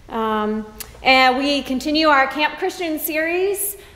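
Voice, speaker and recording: A woman speaks with ordinary pitch variation. Audible room echo fills the recording. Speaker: pastor. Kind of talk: announcements to congregation. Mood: warm, friendly. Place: church. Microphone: camera far.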